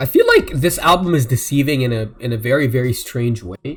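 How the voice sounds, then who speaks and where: Over music in the background, a man talks at a moderate pace and medium pitch, with ordinary pitch variation. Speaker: music reaction youtuber. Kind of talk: live album reaction and review. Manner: halting, many fillers; self-described slurring.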